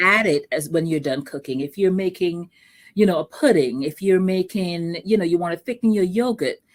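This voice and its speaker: With a Vincentian accent, a woman speaks at a moderate pace with fairly low pitch and lively intonation in a very clean recording with a silent background. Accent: Vincentian Caribbean. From Saint Vincent and the Grenadines. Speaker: entrepreneur selling sea moss products. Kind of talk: interview. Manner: conversational, friendly.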